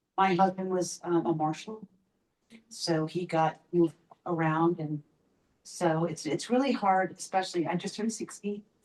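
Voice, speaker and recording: A woman has an unremarkable speaking voice at a medium pitch. She keeps a moderate pace and fairly even intonation. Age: 60s. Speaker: board candidate at community meeting. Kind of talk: self-introduction at public meeting.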